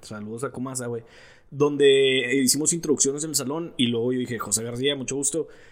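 This man speaks at a fairly quick pace. His pitch is medium. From Mexico. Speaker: podcast co-host. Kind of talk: casual chat. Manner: animated.

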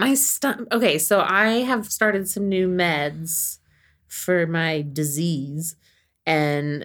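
A woman speaks in a plain, everyday voice with a General American accent and a fairly low pitch. Her intonation is lively, and the recording is very clean with a silent background. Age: 40s. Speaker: podcast co-host. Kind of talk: casual chat.

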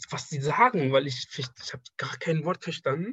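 A man's somewhat breathy voice sits at a fairly high pitch. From Afghanistan. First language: Persian (speaking German). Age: 20s. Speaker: draftsman, former student. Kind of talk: casual interview. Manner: halting.

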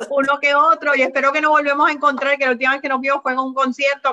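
A woman talks very fast in a raised, projected voice, high-pitched and bright and sharp in tone, with monotone, flat intonation. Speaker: health podcast host. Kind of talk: interview.

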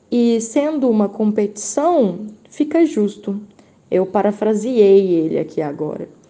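Noticeable background noise sits behind a woman speaking at a fairly slow pace. Her pitch is fairly high, and her intonation is lively. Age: 20s. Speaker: teacher and historian. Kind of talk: casual interview. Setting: WhatsApp voice messages.

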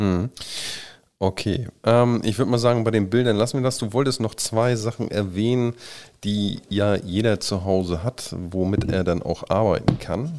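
A man speaks at a moderate pace in a normal speaking voice, fairly low in pitch, with ordinary pitch variation. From northern Germany, Kiel. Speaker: podcast host. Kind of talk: interview.

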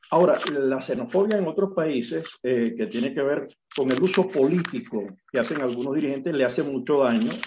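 A man talks at a fairly quick pace in an unremarkable speaking voice, fairly high in pitch, with lively intonation. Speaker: sociologist. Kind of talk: interview.

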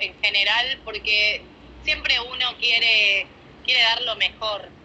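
A woman speaks at a fairly slow pace and fairly high pitch, with noticeable background noise behind her. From Argentina, Córdoba city. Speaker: professional dancer. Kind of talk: interview, casual chat.

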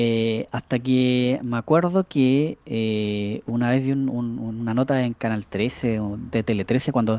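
Recorded dry and close with no echo over a silent background on a very clean track, a man speaks at medium pitch with a Chilean accent. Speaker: podcast co-host. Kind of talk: casual chat. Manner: halting, repeats words.

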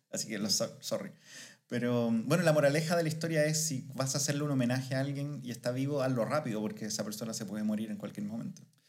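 A man at a medium pitch talks at a very fast pace with ordinary pitch variation, his voice carrying audible room echo. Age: 30s. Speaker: podcast co-host. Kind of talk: casual chat.

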